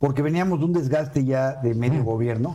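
A man's medium-pitched, dark, mellow voice at a very fast pace, with ordinary pitch variation. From Mexico City. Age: 60s. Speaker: politician and civil engineer. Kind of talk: casual chat.

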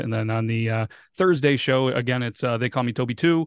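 Here a man speaks in a normal speaking voice at medium pitch and a fairly quick pace. The sound is dry and close, with no echo. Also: quiet background. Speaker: podcast host. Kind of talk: casual chat. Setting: video call.

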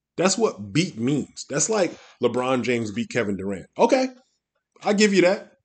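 A man with an American accent speaks in a fairly high-pitched voice with vocal fry. His pitch swings very widely. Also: moderate pace. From US Midwest. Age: 50s. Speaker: football coach and podcast host. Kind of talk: casual solo sports commentary. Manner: many filler words, hesitant.

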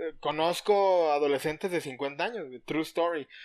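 Heard in a very clean recording with a silent background, a man with a Mexican accent speaks at a fairly high pitch with ordinary pitch variation. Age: 30s. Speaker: podcast co-host. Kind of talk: casual chat.

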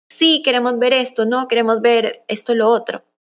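Moderate-paced speech from a woman in a plain, everyday voice. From Colombia, raised in the US from early childhood. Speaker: content strategist and agency founder. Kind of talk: casual interview chat.

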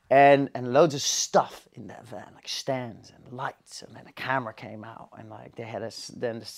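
A man speaks at a medium pitch in a Dutch accent. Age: 30s. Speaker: cinematographer. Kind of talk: casual chat. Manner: halting.

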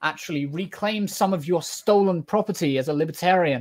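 This man speaks with a British accent and ordinary pitch variation. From Britain. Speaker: political TikTok streamer. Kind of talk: debate. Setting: video call. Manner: halting.

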